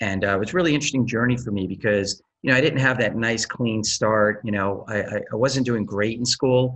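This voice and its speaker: Against a quiet background, an ordinary speaking voice keeps a moderate pace and ordinary pitch variation. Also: man. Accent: American. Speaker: tech executive and Air Force veteran. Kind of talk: interview.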